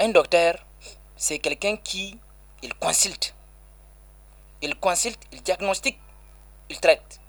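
A man talks at a very slow pace. His speech has long, frequent pauses. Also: big swings in loudness. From Niger (Balayara). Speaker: Islamic healer and NGO director. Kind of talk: radio interview. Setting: on location.

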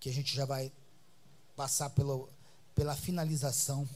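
There is audible room echo as a man speaks at a moderate pace, his fairly high voice somewhat breathy. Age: 60s. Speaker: apostle preacher. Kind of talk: sermon. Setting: church. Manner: animated.

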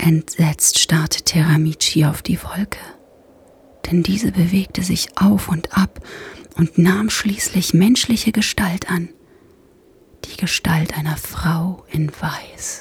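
Long, frequent pauses mark a very slow pace delivered in a soothing tone. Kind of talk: bedtime story narration, ASMR. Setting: ASMR podcast for headphones. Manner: slow, soft, soothing, hushed and calming.

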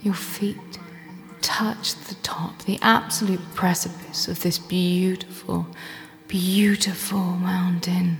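The delivery is very slow, with fairly even intonation. Music plays in the background. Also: woman, medium pitch for a woman. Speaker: life coach. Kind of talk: guided meditation. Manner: slow, soothing, calm; gentle, unhurried, with long pauses.

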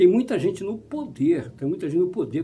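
The man's tone is dark and mellow. His pitch swings very widely. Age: 50s. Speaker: pastor. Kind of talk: sermon.

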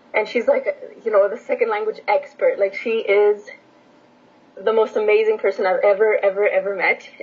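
Amid noticeable background noise, a woman with a Canadian accent speaks at a moderate pace with long, frequent pauses. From Edmonton, Canada (born in Romania). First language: Romanian. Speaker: language teacher and PhD student. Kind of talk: casual chat.

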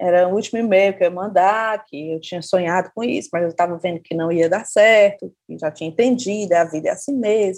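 Speaking at a fairly quick pace with hardly any pauses, a woman has an ordinary speaking voice, ordinary pitch variation and big swings in loudness. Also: medium pitch for a woman. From Brazil, Fortaleza, Ceará. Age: 40s. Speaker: writer and journalist. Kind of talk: casual interview.

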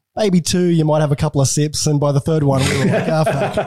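Here a man speaks with an Australian accent. His fairly high pitch holds fairly even intonation. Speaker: podcast host.

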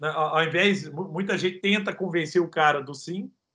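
The man's voice sits high in pitch, with a bright, sharp tone. He keeps a moderate pace. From Brazil, Minas Gerais (Triângulo Mineiro, Araguari). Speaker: entrepreneur. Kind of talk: interview. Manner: animated.

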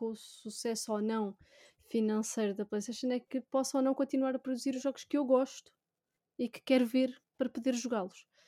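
A woman with a high pitch and a dark, mellow tone at a moderate pace, in a dry, close sound with no echo. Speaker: YouTuber and gaming writer. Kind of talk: casual chat.

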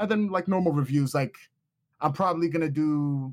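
The man talks with an American accent and ordinary pitch variation. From New York, US. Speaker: game reviewer guest. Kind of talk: casual chat. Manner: loud, emotional.

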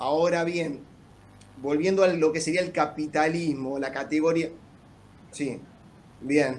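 Pausing long and often, a man speaks at a fairly slow pace and fairly high pitch, his intonation fairly even. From La Plata, Buenos Aires province. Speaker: lawyer. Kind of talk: casual chat with formal questions.

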